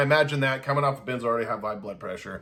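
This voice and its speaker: A man shouts in a bright, sharp tone. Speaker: vlogger documenting benzodiazepine withdrawal. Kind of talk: casual personal video diary. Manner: loud, self-described yelling; halting, many repeats and false starts.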